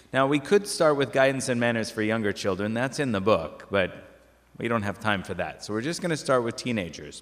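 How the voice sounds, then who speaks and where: Very wide pitch swings run through a medium-pitched man's speech. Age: 50s. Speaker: parish talk presenter. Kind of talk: lecture. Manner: conversational.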